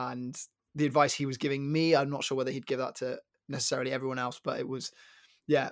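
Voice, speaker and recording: Speaking in a southern English accent, a man talks at a fairly quick pace with a medium pitch and monotone, flat intonation, on a very clean recording with a silent background. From London. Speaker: former tennis player and podcaster. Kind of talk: casual chat.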